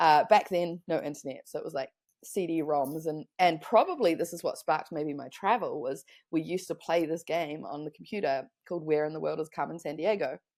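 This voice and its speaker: With a New Zealand accent, a woman with a fairly low pitch and ordinary pitch variation speaks at a fairly quick pace in a very clean recording with a silent background. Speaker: online business consultant. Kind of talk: podcast interview.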